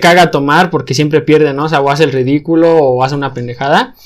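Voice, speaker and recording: A man's fairly high-pitched, unremarkable speaking voice, his intonation fairly even. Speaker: podcast host; engineering student. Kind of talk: casual chat.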